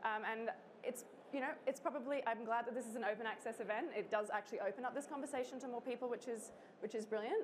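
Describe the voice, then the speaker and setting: With an Australian accent, a woman talks at a very fast pace, fairly high-pitched with ordinary pitch variation. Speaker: think tank co-founder. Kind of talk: conference talk. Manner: casual, with many filler sounds.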